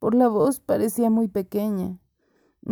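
The background is quiet. Someone is reading aloud in a natural voice.

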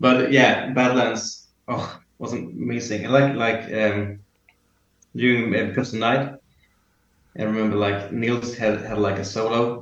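In a room with audible echo, a man with a Swedish accent speaks fairly slowly at medium pitch, keeping his intonation fairly even and leaving long, frequent pauses. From Sweden. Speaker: concertgoer, music fan. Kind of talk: casual chat. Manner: halting.

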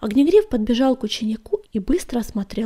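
This is plain reading aloud. Lively intonation carries it.

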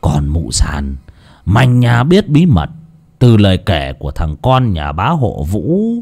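In a put-on character voice, the speaker goes at a slow pace with vocal fry, very wide pitch swings, a slightly mellow tone and a slightly husky edge. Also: man, low pitch for a man.

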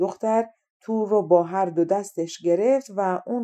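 The background is quiet as a passage is read aloud in a natural voice, its pitch rising and falling in an ordinary way.

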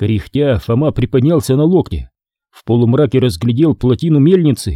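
A quiet background behind a natural reading voice of ordinary pitch variation

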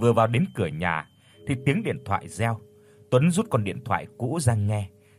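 Intonation rises and falls in a lively way. The voice is a natural reading voice.

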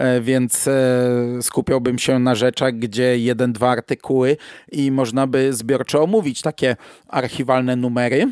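In a dry, close recording with no echo, a man at medium pitch speaks fairly slowly in a flat monotone. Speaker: podcast host. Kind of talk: casual monologue review. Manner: hesitant, with fillers.

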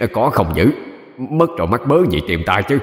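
A man puts on a character voice at a medium pitch with very wide pitch swings and a moderate pace. Light background noise and a slight echo are present. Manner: cackling, taunting.

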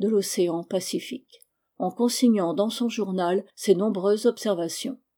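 Over a quiet background comes an unforced reading voice whose pitch varies in an ordinary way.

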